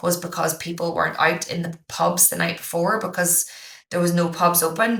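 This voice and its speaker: Bright and sharp in tone, a woman speaks at a moderate pace. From Ireland, County Down. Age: 30s. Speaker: high school teacher and podcaster. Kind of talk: podcast interview.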